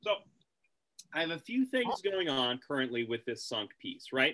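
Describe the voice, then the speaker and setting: With very wide pitch swings, a man speaks at a moderate pace in a fairly high pitch. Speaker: blacksmith and metalworking instructor. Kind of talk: online tutorial. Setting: video call. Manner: loud in person.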